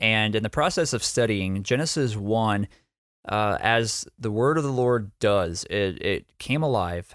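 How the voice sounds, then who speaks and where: A man with an ordinary speaking voice, fairly low pitch and ordinary pitch variation, at a fairly slow pace, on a very clean recording with a silent background. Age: 20s. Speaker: church planter and preacher. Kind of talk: sermon-style teaching.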